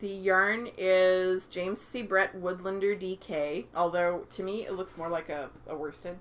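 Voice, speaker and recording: A woman's voice at a medium pitch. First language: French. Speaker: knitting podcast co-host. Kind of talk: casual chat.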